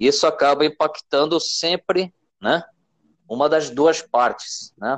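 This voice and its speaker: This man's voice sits fairly high, with ordinary pitch variation at a very slow pace. The sound is dry and close with no echo. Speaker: podcast host, project management teacher. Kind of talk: interview.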